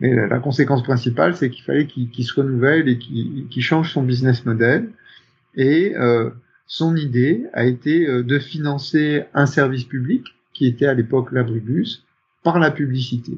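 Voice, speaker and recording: At a moderate pace, a man speaks in a somewhat breathy, medium-pitched voice with ordinary pitch variation. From northern France (Picardy). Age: 50s. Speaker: company executive. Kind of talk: interview. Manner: hesitant, many fillers.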